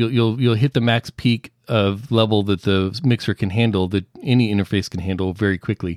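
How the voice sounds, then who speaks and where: With an American accent, a man in an unremarkable speaking voice talks at a moderate pace and fairly low pitch, his intonation fairly even and hardly any pauses, in a dry, close sound with no echo. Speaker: audio producer and podcaster. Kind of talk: casual chat. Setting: remote call. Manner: explanatory, clear.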